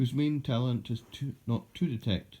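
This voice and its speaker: A man speaks at a medium pitch and a fairly slow pace. His tone is dark and mellow and somewhat breathy. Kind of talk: poetry reading.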